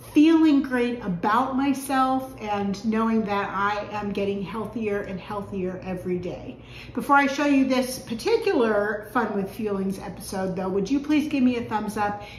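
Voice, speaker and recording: A woman talks at a moderate pace with hardly any pauses and ordinary pitch variation, with audible room echo and light background noise. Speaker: home cooking vlogger. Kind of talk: casual vlog chat. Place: kitchen. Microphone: camera far.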